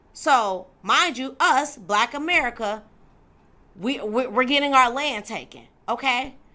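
Animated and with lively intonation, a woman projects a raised voice with a bright, sharp tone, high in pitch and at a fairly slow pace. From Detroit, Michigan, US. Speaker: faith show host, Bible teacher. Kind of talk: religious teaching monologue. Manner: animated, emphatic.

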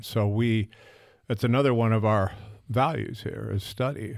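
A man with a normal speaking voice, fairly low in pitch, at a fairly slow pace, in a very clean recording with a silent background. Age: 60s. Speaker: pastor. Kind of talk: casual chat.

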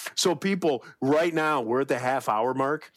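With ordinary pitch variation, a man talks in a plain, everyday voice at a moderate pace. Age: 40s. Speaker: podcast co-host. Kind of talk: casual chat. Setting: video recording.

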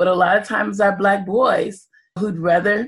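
A woman with an American accent talks at a moderate pace in a normal speaking voice. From Evanston, Illinois, US Midwest. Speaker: community advocate. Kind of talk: interview.

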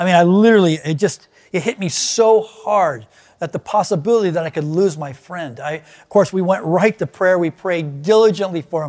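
With ordinary pitch variation, the man speaks at a high pitch. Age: 60s. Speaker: pastor. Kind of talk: sermon. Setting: online video service.

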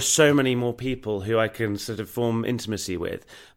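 With a southern English accent, a man speaks at a moderate pace in a very clean recording over a silent background. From southern England, rural Hampshire. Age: 30s. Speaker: actor and writer. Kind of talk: interview, personal story. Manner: hesitant, many fillers.

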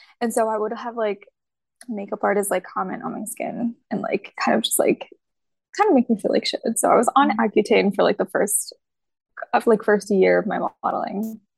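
The recording sounds close and dry, free of echo. A woman talks at a moderate speed. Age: 20s. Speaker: fashion model. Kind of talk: casual interview.

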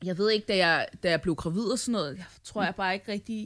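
A woman talks at a medium pitch and a moderate pace. The recording is very clean with a silent background. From Denmark. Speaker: podcast host. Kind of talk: casual chat.

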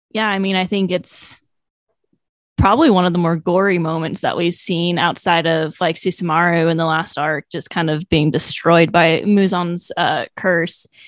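A woman talks at a moderate pace in a fairly low voice with fairly even intonation against a quiet background, a plain, everyday voice. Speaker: podcast co-host. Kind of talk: casual chat.

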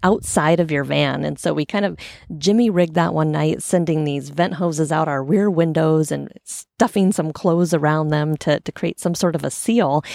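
Here is a woman in a West Coast US accent with a very deep, low pitch. The recording is very clean, the background silent. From US Pacific Northwest, Portland, Oregon. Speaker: podcast host. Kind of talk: solo podcast monologue. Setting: outdoors on a sailboat stern. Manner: casual, conversational.

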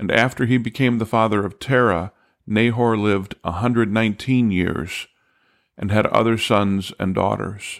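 In an ordinary speaking voice, a man talks at a moderate pace with fairly low pitch and fairly even intonation on a very clean recording with a silent background. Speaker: Bible teacher and podcast host. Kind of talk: scripture reading aloud, steady and solemn, then plain teaching commentary. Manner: measured, even-paced, formal reading cadence; clear, calm, instructive.

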